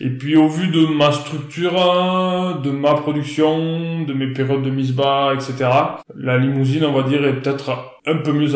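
A man speaks at a fairly slow pace with a fairly high pitch and fairly even intonation. Audible room echo and noticeable background noise fill the recording. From France, northern Aveyron. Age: 30s. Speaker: cattle farmer. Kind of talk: interview. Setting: outdoors. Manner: hesitant, many fillers.

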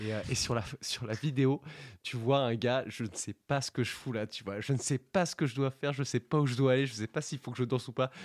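A plain, everyday voice from a man at medium pitch, fairly quick and with fairly even intonation, in a very clean, dry, close recording with no echo and a silent background. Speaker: studio technician and co-producer. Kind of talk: casual radio chat. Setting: radio studio control room.

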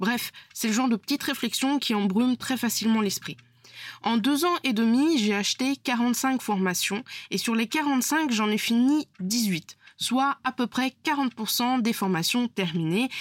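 In a dry, close recording with no echo, a woman speaks very slowly at a high pitch, with ordinary pitch variation and very even loudness. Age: 20s. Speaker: podcast host, freelance web designer. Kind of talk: solo podcast monologue. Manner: casual, conversational with hesitations.

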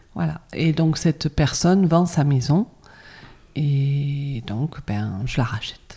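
Very slowly, a woman speaks with a very deep, low pitch, a dark, mellow tone, some breathiness and lively intonation. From France, Bordeaux. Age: 50s. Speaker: cosmetics brand founder. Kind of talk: interview. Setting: spa.

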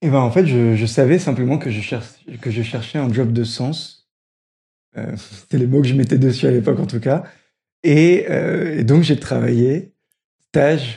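Against a quiet background, a man speaks fairly slowly at medium pitch with ordinary pitch variation, his somewhat breathy voice dark and mellow in tone, broken by long, frequent pauses. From northern France, Roubaix. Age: 20s. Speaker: social enterprise program manager. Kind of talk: interview.

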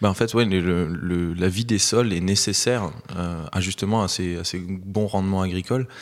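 The man's voice is pitched very deep and low. His delivery holds a fairly level intonation. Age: 20s. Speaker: author. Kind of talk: interview. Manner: halting.

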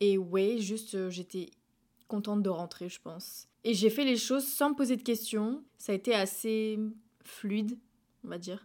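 A woman with a fairly high pitch and ordinary pitch variation speaks with long, frequent pauses and big swings in loudness, on a very clean recording with a silent background. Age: 20s. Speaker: podcaster. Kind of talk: personal monologue.

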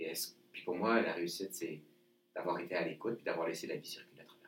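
A man speaks at a fairly quick clip with a Quebec accent. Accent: Québécois French. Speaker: leadership trainer and author. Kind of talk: interview.

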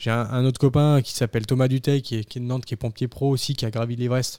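Dark and mellow in tone, a man speaks with fairly even intonation. The recording is very clean, with a silent background. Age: 20s. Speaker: amateur high-altitude mountaineer, ski instructor and firefighter. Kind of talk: interview conversation.

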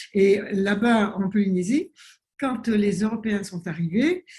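A woman with a dark, mellow, somewhat breathy tone speaks at medium pitch with lively intonation. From French Polynesia (Tahiti). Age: 70s. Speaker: naturopath and author. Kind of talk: interview. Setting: video call.

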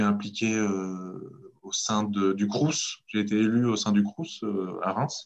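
A man speaks slowly-ish, at a fairly slow pace, with a fairly low pitch. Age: 30s. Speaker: entrepreneur and local politician. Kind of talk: casual interview. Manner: halting, many hesitations.

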